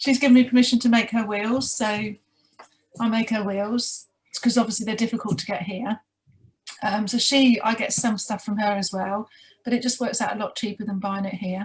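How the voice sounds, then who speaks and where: A woman with a British accent, fairly high in pitch, at a moderate pace, with fairly even intonation. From UK. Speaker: sugar glider mentor. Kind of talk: interview.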